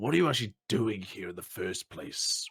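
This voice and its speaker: The man puts on a raspy character voice at a medium pitch, speaking at a moderate pace. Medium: actual play.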